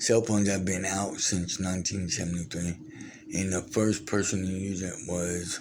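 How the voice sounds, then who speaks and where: Amid audible room echo, a man with a very deep, low pitch talks at a moderate pace in a monotone, flat intonation. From Brazil. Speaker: vlogger, former wrestler and war veteran. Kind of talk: casual storytelling monologue. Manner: halting, many fillers and restarts.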